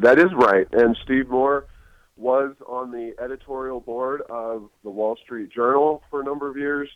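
An ordinary speaking voice with an American accent moves at a fairly slow pace. The intonation is fairly even, but the loudness swings widely. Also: man, medium pitch for a man. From Ohio. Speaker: think tank president. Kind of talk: podcast interview.

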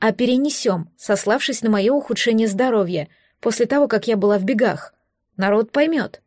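Quiet background, a natural reading voice, and pitch that moves by an ordinary amount

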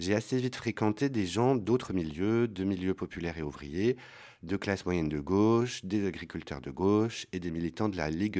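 A man speaks at a moderate pace with a low pitch. His tone is slightly mellow, and his pitch varies in an ordinary way.

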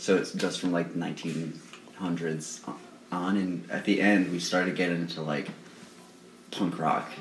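The delivery is a flat monotone at a fairly slow pace. Audible room echo fills the recording. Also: man, very deep, low pitch for a man. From Rhode Island. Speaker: punk band member. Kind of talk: casual chat.

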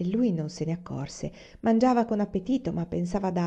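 An unforced reading voice delivers the words with lively intonation.

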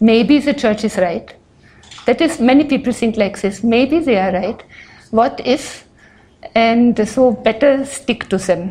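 A woman with a non-native accent speaks at a fairly slow pace in a fairly high voice, her tone dark and mellow and her pitch varying in an ordinary way. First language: not English. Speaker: speaker on religion. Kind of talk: lecture. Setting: stage with audience.

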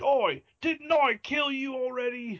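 A put-on character voice in a Cockney accent moves along at a fairly slow pace. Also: man, extremely high pitch for a man. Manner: incredulous, gruff.

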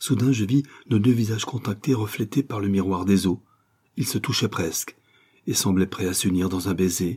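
In a natural voice with ordinary pitch variation, the speaker reads aloud.

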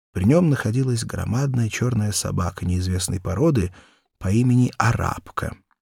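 A man's fairly low voice with vocal fry, a slightly mellow tone and a slightly husky edge, at a moderate pace with ordinary pitch variation, in a very clean recording with a silent background.

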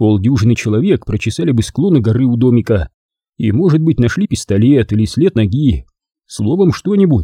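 An unforced reading voice with lively intonation, against a quiet background.

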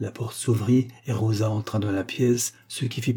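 The intonation stays fairly even as someone reads in a natural voice.

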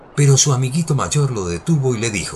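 The intonation is lively and the tone slightly mellow. The pace is fairly quick. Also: man, medium pitch for a man.

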